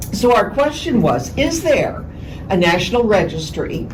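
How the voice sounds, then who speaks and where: A woman speaks at a very slow pace with lively intonation, with audible room echo and noticeable background noise. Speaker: audience member, poll worker. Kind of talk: audience question. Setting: public forum, no mic. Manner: loud.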